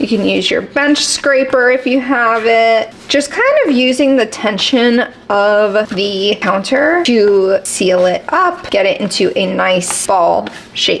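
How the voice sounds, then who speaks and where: A woman talks at a very slow pace in a high pitch. Noticeable background noise is present. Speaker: lifestyle vlogger. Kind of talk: tutorial. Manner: casual; quiet.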